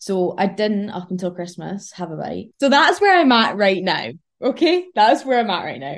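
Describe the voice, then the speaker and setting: With a Scottish accent, a woman at medium pitch speaks at a moderate pace, her pitch swinging very widely and her loudness shifting a lot. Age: 20s. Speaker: university student and fitness influencer. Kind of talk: casual chat. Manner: animated.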